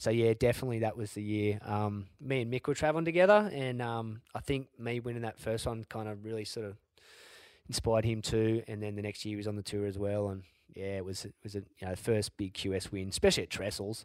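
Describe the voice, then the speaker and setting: Very fast and fairly low-pitched, a man talks with an Australian accent and fairly even intonation on a very clean recording with a silent background. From Australia, Sydney northern beaches. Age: 40s. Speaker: former pro surfer, world champion. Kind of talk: casual interview.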